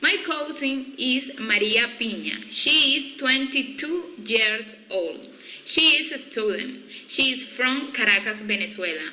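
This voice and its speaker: A woman's high voice is raised and projected as she speaks very slowly. Noticeable background noise and audible room echo accompany her. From Colombia, Cartagena. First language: Spanish. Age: 20s. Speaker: psychology student. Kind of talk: reading aloud a class self-introduction. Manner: slow, deliberate learner English.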